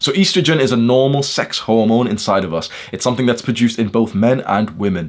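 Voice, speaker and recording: With a British accent, a man speaks at a very fast pace in a medium pitch, his tone animated and his intonation lively. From UK. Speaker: self-improvement YouTuber. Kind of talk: casual lecture.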